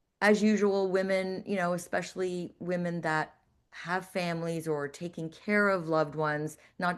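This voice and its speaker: A woman's normal speaking voice, fairly low in pitch, fairly even in intonation and moderate in pace, against a quiet background. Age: 60s. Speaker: fitness professional and holistic nutritionist. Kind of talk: interview.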